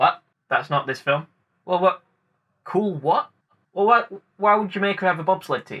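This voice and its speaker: A man with a British accent speaks at a high pitch in a raised, projected voice with a bright, sharp tone. His pace is moderate, with ordinary pitch variation and long, frequent pauses. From UK. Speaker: film review YouTuber. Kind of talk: film commentary video essay. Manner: casual, jokey.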